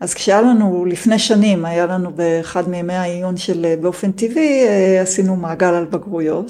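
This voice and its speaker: A woman speaks at a moderate pace and a medium pitch. Her tone is calm, dark and mellow. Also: ordinary pitch variation. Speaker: homeschooling mother of four, programmer. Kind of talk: interview guest talk.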